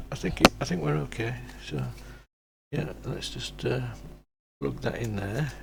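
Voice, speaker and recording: A man's very deep, low voice with vocal fry and very wide pitch swings, at a fairly slow pace with long, frequent pauses and audible room echo. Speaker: hobbyist maker. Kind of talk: casual build tutorial. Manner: quiet, not loud.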